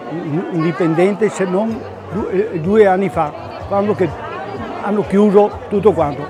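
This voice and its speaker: A man speaks at a moderate pace with fairly even intonation. Audible room echo and crowd noise fill the background. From Veneto, Treviso area. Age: 80s+. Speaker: company founder. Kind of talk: interview. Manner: halting.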